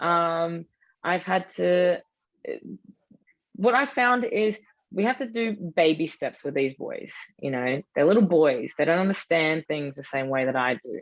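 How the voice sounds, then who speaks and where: A woman with an Australian accent speaks at a fairly slow pace, leaving long, frequent pauses. Her fairly low voice shows very wide pitch swings. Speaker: football supporter group leader. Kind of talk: panel discussion. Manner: animated.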